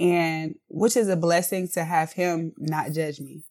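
On a very clean recording with a silent background, a woman with an American accent speaks in a fairly low pitch with monotone, flat intonation. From South Carolina (Columbia). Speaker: candle business owner. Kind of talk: interview.

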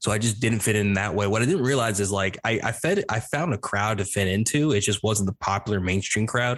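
This man has an unremarkable speaking voice, pitched fairly low, with an American accent, ordinary pitch variation and very even loudness, moving at a fairly quick pace with hardly any pauses. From various US regions: East Coast, Midwest, Southwest. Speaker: podcast host, homeschool graduate. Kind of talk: casual interview chat.

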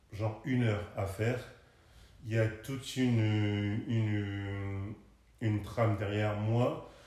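There is audible room echo and noticeable background noise as a man talks at a very slow pace. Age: 30s. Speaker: content creator. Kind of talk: interview.

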